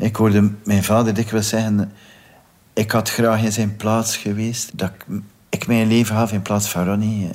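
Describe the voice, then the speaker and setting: A man talks at a moderate pace. He has a Flemish accent. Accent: Flemish Dutch. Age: 50s. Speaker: victim's brother. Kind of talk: testimony.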